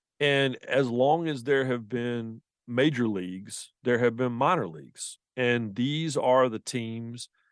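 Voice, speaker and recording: In a Southern US accent, a man speaks at a medium pitch with ordinary pitch variation, in a dry, close sound with no echo and a quiet background. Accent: Southern, noticeable. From US South, the Carolinas. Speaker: sports journalist and author. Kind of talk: interview. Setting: remote from another city.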